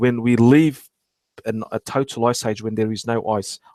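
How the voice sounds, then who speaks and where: A medium-pitched man with an Australian accent, fairly slow and fairly even in intonation, in a dry, close sound with no echo. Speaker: archaeology livestream host. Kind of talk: casual live stream talk. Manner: halting, many false starts.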